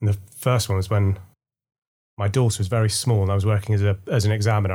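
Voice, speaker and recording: Speaking very fast in a monotone, a man has a fairly low pitch and a dark, mellow tone that is somewhat breathy, on a very clean recording with a silent background. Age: 40s. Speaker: teacher. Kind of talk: casual chat.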